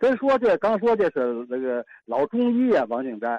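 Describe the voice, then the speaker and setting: In a dry, close sound with no echo, a man speaks with very wide pitch swings. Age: 70s. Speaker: retired doctor. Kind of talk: casual reminiscence.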